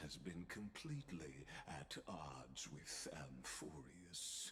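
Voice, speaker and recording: Over clear background noise, a man uses a put-on character voice at a very deep, low pitch. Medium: video game. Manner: measured, persuasive, insinuating.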